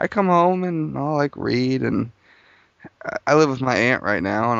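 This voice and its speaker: Using lively intonation, a man talks in a Midwestern US accent. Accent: US Midwest. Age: 20s. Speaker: interview guest. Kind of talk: casual interview conversation.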